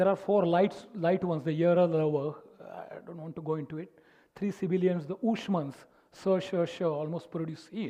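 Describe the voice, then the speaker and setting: A man with a Marathi accent speaks in a high pitch for a man, his intonation fairly even. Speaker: music teacher and speaker. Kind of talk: lecture. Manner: halting.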